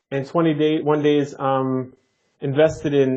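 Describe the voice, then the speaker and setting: With a New Jersey accent, a man speaks at a moderate pace in a fairly high, monotone, flat voice. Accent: New Jersey American. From Jersey City, New Jersey, US. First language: Neapolitan Italian. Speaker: flight attendant and language learner. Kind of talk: podcast interview.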